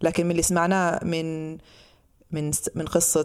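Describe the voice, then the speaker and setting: This is a woman speaking with a fairly low pitch. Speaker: podcast host. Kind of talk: podcast discussion on legal issues.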